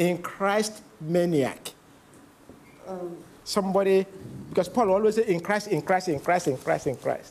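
With long, frequent pauses, a man talks at a fairly slow pace and high pitch, his pitch varying in an ordinary way over light background noise. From Nigeria. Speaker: preacher. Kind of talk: sermon. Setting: church conference with live interpreter. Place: church.

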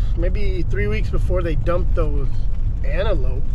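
There is noticeable background noise, and the sound is dry with no echo. A man talks at a moderate pace. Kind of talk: casual vlog chat. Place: car. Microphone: phone near.

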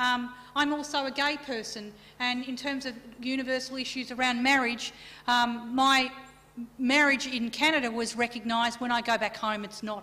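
A woman speaks with an Australian accent at a high pitch. Her pace is moderate. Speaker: keynote speaker. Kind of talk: keynote lecture. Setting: conference stage with audience. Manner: animated. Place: meeting room. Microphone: podium.

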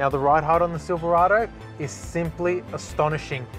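A man at a moderate pace, in a dry sound with no echo, with clear music in the background. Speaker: presenter. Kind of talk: test drive review commentary. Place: car. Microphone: lapel.

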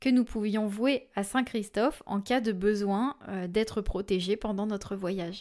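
With an unremarkable speaking voice, a woman speaks at a fairly slow pace and a fairly high pitch, her pitch variation ordinary, on a very clean recording with a silent background. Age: 20s. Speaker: medium and podcast host. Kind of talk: storytelling monologue.

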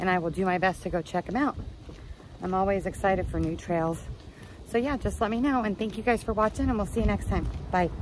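A woman rattles along at a very fast pace with vocal fry and ordinary pitch variation. The sound is dry with no echo, over light background noise. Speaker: hiking vlogger. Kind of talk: casual vlog chat. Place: street. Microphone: phone near.

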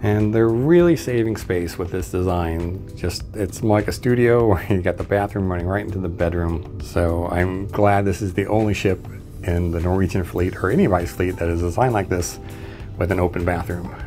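A man speaks with a very deep, low pitch. Clear music plays in the background. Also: ordinary pitch variation, moderate pace. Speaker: cruise traveler reviewer. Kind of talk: casual walkthrough tour commentary. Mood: wry, mildly critical. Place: home room. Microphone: phone near.

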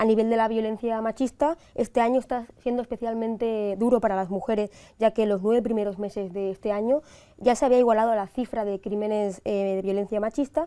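Fairly quick pace marks this woman's speech. Her intonation stays fairly even. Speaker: news reporter. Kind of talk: news reading. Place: studio. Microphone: lapel.

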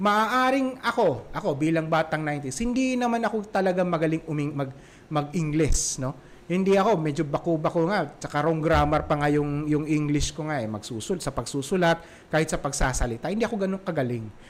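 A man has a normal speaking voice with lively intonation. He talks at a fairly quick pace. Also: fairly high pitch for a man. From Visayas, Philippines. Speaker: parenting podcast host. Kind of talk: solo podcast talk. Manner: casual, with many fillers.

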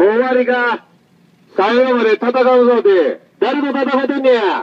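The speaker sounds angry, with a Kansai accent. The pace is fairly slow and the pitch variation ordinary. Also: man, extremely high pitch for a man. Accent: Kansai Japanese. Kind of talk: street protest heckling. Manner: angry, confrontational.

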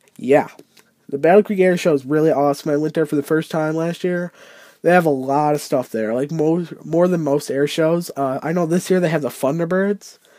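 The sound is dry with no echo, over a quiet background. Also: fairly quick pace. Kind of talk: casual vlog chat. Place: home room.

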